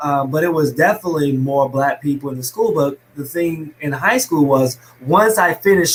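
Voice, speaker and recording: A man with an American accent, fairly high pitch, ordinary pitch variation and a moderate pace. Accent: Alabama accent, slight, was thicker. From US South, small-town Alabama. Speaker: fitness business owner. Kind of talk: podcast interview. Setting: live stream video call.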